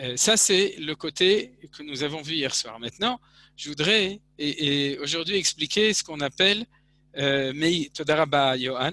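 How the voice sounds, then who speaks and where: Speaking at a fairly slow pace, a man has a bright, sharp tone in a dry sound with no echo. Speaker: religious teacher. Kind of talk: lecture. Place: home room. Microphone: headset.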